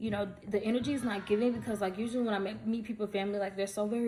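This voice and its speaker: A woman rushes along at a very fast pace while noticeable background noise sounds behind her. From US South, Atlanta, Georgia. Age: 20s. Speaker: vlogger. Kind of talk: casual storytime vlog. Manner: animated.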